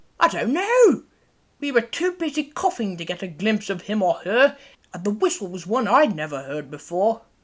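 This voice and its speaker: A put-on character voice speaks at a fairly high pitch with very wide pitch swings. The pace is moderate. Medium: audio drama. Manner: prim, indignant.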